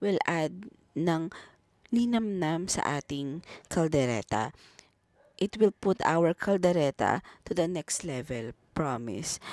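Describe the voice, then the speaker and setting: A woman with a Filipino accent talks at a fairly slow pace with very wide pitch swings, in a dry, close sound with no echo. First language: Tagalog. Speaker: home cook. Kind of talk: cooking tutorial.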